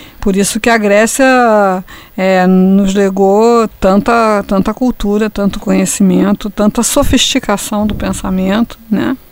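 With fairly even intonation, this woman's voice sits at a medium pitch and moves at a fairly slow pace. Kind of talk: casual discussion. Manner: halting.

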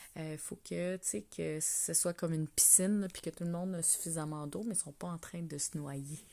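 Fairly low in pitch, a woman speaks with a Quebec accent at a moderate pace, her intonation fairly even. Her tone is dark and mellow, and the recording is very clean with a silent background. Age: 40s. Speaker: wellness coach podcaster. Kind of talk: casual solo monologue. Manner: hesitant with frequent fillers; laughing often.

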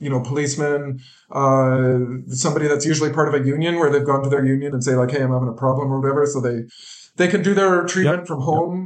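With a western Canadian accent, a man talks very fast in a fairly high voice with fairly even intonation, and room echo is audible. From western Canada. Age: 40s. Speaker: recovery coach. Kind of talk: interview, personal testimony.

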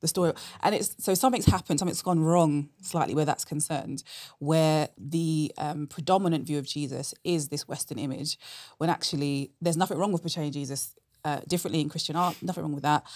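A woman with a London accent and a very deep, low pitch, at a fairly quick pace with ordinary pitch variation, on a very clean recording with a silent background. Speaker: apologetics speaker. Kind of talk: conversational interview answers.

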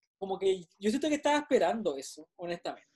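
Speaking at a very fast pace, a man uses a high pitch and a dark, mellow tone. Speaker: podcast co-host. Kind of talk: casual chat. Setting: video call.

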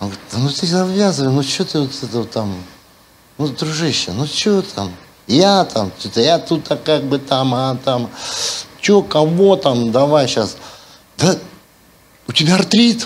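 A man's fairly high voice at a fairly slow pace, with very wide pitch swings and long, frequent pauses, amid audible room echo and noticeable background noise. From Siberia, Russia. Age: 50s. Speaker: pastor. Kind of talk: sermon. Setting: church. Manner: animated.

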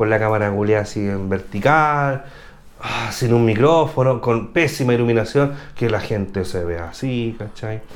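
Audible room echo follows a man talking at a medium pitch. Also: ordinary pitch variation, moderate pace. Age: 40s. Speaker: YouTuber and photographer. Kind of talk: casual chat. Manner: animated.

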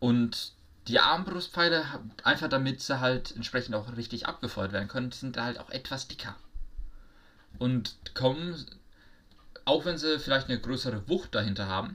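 This man's voice has a bright, sharp tone at a medium pitch. Long, frequent pauses break up his speech. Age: young. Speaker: podcast co-host. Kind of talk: casual chat. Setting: virtual studio.

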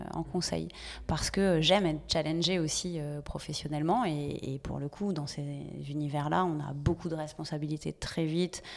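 This woman has a very deep, low pitch and ordinary pitch variation. She talks at a fairly slow pace. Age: 40s. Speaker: social enterprise director. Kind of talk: interview. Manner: hesitant, many fillers.

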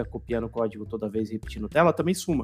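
With a very fast pace and lively intonation, a man talks with vocal fry. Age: 40s. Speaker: podcast host, designer. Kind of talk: casual chat.

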